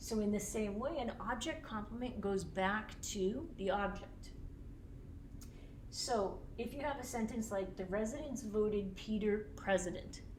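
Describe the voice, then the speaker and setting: At a fairly slow pace, the speaker talks with an American accent and ordinary pitch variation, over noticeable background noise and audible room echo. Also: woman, fairly high pitch for a woman. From US Northeast, Boston. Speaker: teacher. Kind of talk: lecture.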